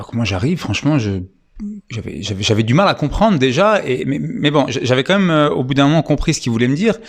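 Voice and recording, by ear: Fast, lively speech from a man at medium pitch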